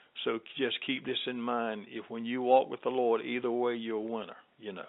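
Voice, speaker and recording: In a Southern US accent, a man speaks at a moderate pace and medium pitch with monotone, flat intonation. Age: 70s. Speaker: gospel singer and minister. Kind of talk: interview.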